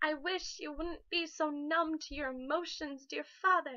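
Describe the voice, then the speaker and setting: A woman's raised, projected voice rings out high in pitch with a bright, sharp tone. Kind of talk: spoken word poetry reading. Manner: emotional.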